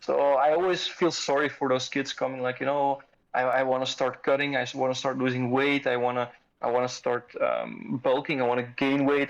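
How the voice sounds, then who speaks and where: This man speaks with a non-native accent, his pitch fairly high and his pace fairly quick. His intonation stays fairly even and his loudness very even. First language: not English. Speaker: fitness community member and father. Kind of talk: casual podcast chat. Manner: halting, many repetitions.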